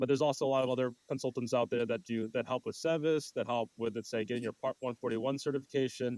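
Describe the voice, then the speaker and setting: The man talks at a very fast pace with fairly even intonation. His voice sounds dry and close, with no echo. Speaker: podcast host. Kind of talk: interview.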